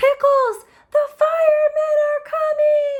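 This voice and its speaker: Squeaky, extremely high put-on character voice from a woman. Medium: read story. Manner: warm, caring.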